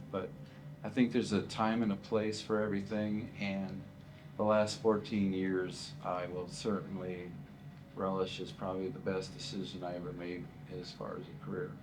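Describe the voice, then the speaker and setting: A man speaks at a moderate pace with a fairly low pitch and ordinary pitch variation. His loudness swings a lot, and room echo is audible. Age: 60s. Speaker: retiring school teacher. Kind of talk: interview. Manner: hesitant, many fillers and repeats.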